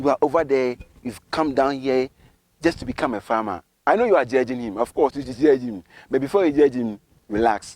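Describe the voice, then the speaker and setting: In a dry, close sound with no echo, a man with an unremarkable speaking voice talks at a fairly quick pace. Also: medium pitch for a man, ordinary pitch variation. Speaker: YouTube interviewer / channel host. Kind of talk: vlog intro to camera. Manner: upbeat.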